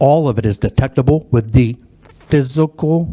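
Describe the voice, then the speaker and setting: With ordinary pitch variation and a fairly high pitch, a man speaks through noticeable background noise. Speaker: technical expert witness. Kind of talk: testimony. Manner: loud; animated.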